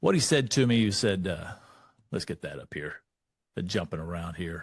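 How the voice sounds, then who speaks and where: Delivered at a moderate pace in an American accent, the speech has lively intonation and big swings in loudness, with a dry, close sound with no echo over a quiet background. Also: man, very deep, low pitch for a man. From Texas. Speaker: leadership speaker. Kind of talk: motivational talk.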